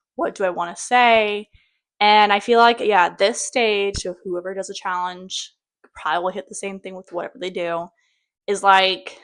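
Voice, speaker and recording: On a very clean recording with a silent background, a woman at medium pitch speaks with big swings in loudness. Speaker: vlogger. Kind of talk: casual vlog monologue. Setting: at home, kids behind door. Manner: fast; animated.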